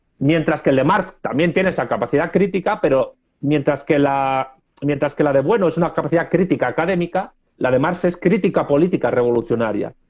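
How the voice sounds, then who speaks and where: At a fairly quick pace, a man with a normal speaking voice talks in a fairly high pitch with ordinary variation and very even loudness. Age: 30s. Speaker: political scientist. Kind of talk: interview.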